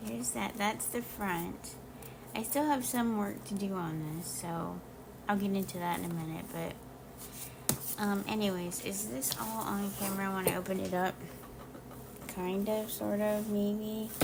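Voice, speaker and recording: Speaking at a fairly slow pace with long, frequent pauses, a woman is heard through audible room echo and noticeable background noise. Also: medium pitch for a woman, ordinary pitch variation. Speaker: crafting video creator. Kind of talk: casual show-and-tell tutorial. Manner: hesitant, many fillers.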